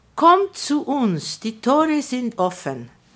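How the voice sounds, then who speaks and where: Her pitch swings very widely. The woman speaks at a very slow pace. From Argentina. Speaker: publisher and writer. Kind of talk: interview. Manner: halting.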